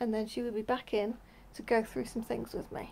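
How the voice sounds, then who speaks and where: The woman's intonation is monotone and flat throughout. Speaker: vlogger. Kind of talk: casual vlog chat telling a story. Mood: relaxed, chatty. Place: home room. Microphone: phone near.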